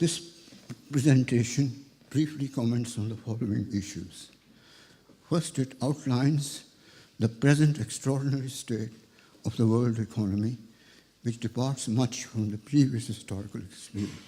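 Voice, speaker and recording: The man's tone is dark and mellow, somewhat breathy. He leaves long, frequent pauses. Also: medium pitch for a man, ordinary pitch variation, moderate pace. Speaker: economics professor. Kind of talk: reading a prepared lecture.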